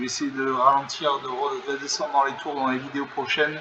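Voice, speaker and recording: Monotone, flat intonation from a man at a fairly quick pace, with noticeable background noise. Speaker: gaming YouTuber. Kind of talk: live game commentary. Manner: fast.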